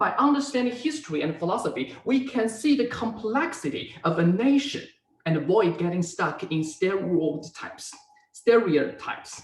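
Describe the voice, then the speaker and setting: With a Chinese accent, a man speaks at a moderate pace in a high pitch, making very wide pitch swings. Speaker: university student. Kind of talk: class presentation; Q&A answer. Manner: halting.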